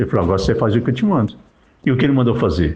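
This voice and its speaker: A man speaks at a very fast pace. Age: 60s. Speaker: lay preacher. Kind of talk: religious monologue. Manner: emphatic.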